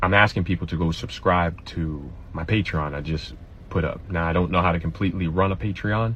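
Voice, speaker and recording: A man speaks at a fairly quick pace in a very deep, low voice, somewhat breathy, with ordinary pitch variation. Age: 30s. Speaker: social media creator. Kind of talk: personal appeal to followers. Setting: live stream video.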